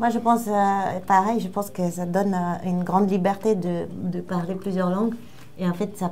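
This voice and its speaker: At a fairly slow pace, a woman speaks in a somewhat breathy voice of medium pitch with ordinary pitch variation. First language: Romanian (speaking French). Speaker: writer. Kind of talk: casual interview. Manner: halting.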